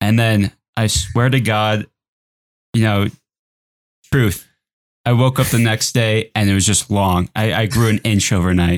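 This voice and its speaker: At a moderate pace, a man with a fairly low pitch and fairly even intonation talks in a dry, close sound with no echo. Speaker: podcast co-host, artist. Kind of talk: casual group chat podcast.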